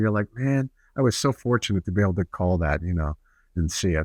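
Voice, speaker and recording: A man with an American accent talks at a very fast pace and a fairly low pitch. The sound is dry and close with no echo, and the background is quiet. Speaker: radio play-by-play announcer. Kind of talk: interview answer. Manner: conversational, friendly.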